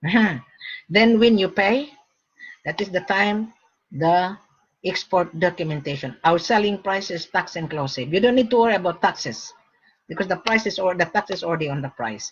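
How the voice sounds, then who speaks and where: A woman with a medium pitch and a somewhat breathy voice speaks at a moderate pace in an animated tone with lively intonation. She leaves long, frequent pauses. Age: 60s. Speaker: gold broker. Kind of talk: sales pitch.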